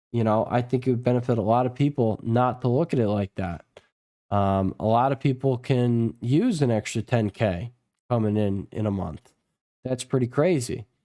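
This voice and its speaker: A man's voice has a dark, mellow tone. The recording is very clean with a silent background and a dry, close sound with no echo. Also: medium pitch for a man, ordinary pitch variation, moderate pace. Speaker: stock market youtuber. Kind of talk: market analysis video. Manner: casual, filler-heavy.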